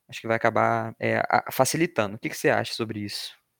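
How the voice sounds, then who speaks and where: A man's medium-pitched voice with vocal fry, dry and close with no echo, on a very clean recording with a silent background. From Brazil, Rio de Janeiro. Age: 20s. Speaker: podcast host, environmental engineering student. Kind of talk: casual informative podcast chat.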